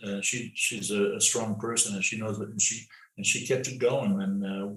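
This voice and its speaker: With a Canadian accent, a man speaks at a moderate pace amid noticeable background noise and audible room echo. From Canada, Toronto (Scarborough). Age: 70s. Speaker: playwright. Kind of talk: interview. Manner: halting, frequent repetitions.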